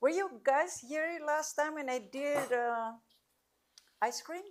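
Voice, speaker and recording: A woman speaks with a high pitch at a very slow pace. Her pitch swings very widely. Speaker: cooking class instructor. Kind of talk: cooking demonstration Q&A. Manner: loud.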